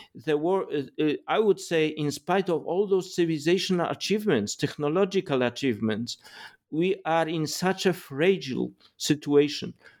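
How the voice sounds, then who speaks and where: A man with a Polish accent, fairly high pitch, ordinary pitch variation and a moderate pace, on a very clean recording over a silent background. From Poland. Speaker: philosopher and political theorist. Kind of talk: interview. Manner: halting.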